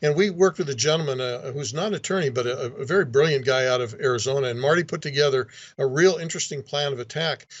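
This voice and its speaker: At a very fast pace, a man speaks in a fairly high pitch with a somewhat breathy quality. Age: 60s. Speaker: state legislator. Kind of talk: interview.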